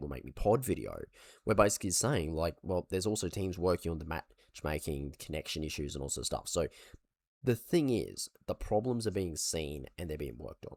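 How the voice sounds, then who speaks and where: Heard in a very clean recording with a silent background, a man talks at a fairly quick pace in a very deep, low voice. His speech carries vocal fry and very wide pitch swings. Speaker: gaming commentator. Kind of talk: casual talk to camera.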